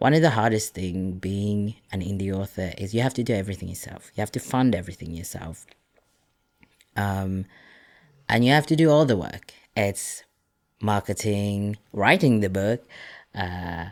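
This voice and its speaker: A man with a non-native accent speaks at a fairly low pitch with ordinary pitch variation, leaving long, frequent pauses. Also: moderate pace. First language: not English. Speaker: indie author. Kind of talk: casual podcast-style commentary. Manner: rambling, with fillers and restarts.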